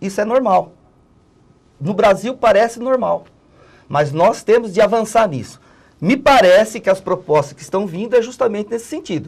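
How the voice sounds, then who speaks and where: This man has a high pitch and lively intonation, speaking at a moderate pace. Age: 60s. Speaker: political analyst and former union worker. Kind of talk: interview.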